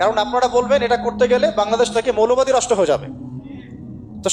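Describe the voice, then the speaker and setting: A man with an extremely high pitch and ordinary pitch variation speaks over noticeable background noise. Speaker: Islamic preacher. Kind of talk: Islamic sermon clip. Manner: impassioned, rhetorical.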